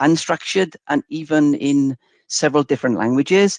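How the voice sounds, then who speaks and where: In a Welsh accent, a man talks at a fairly quick pace with a fairly high pitch and ordinary pitch variation. The sound is dry and close with no echo, over a quiet background. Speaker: software demo presenter. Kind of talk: webinar product demo. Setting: online webinar. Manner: hesitant, many fillers.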